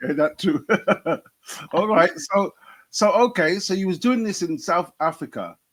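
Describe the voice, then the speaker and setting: A man's high voice in a British accent, fairly slow and lively in intonation, with long, frequent pauses. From UK. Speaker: comedian and podcast host. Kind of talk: interview.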